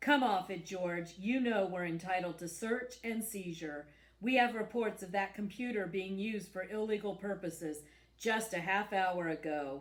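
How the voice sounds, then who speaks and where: A gruff, put-on character voice moves at a moderate pace. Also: female-sounding voice, medium pitch for a woman. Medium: read story. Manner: blunt, overbearing.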